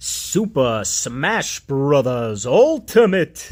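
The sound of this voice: A man does a put-on character voice, fairly high in pitch. He speaks at a very slow pace.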